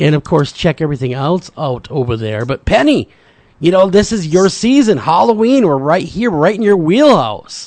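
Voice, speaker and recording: With very wide pitch swings, a man talks in an animated tone at a high pitch. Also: moderate pace. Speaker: radio talk show host. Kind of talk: casual interview.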